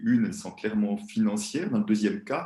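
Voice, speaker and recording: With a Swiss accent, a man talks at a moderate pace in a dark, mellow tone, his pitch varying in an ordinary way. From Switzerland. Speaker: money-relationship coach, former banker. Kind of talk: interview.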